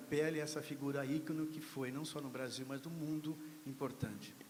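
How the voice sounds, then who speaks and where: Audible room echo follows a man speaking in a fairly high pitch with fairly even intonation. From Brazil, São Carlos (São Paulo state). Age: 60s. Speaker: panel speaker at literary event. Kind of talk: panel discussion remarks.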